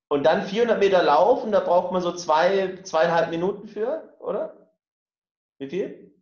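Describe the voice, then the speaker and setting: With a high voice and ordinary variation in pitch, a man speaks fairly slowly. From rural Germany. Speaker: podcast co-host. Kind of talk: casual chat.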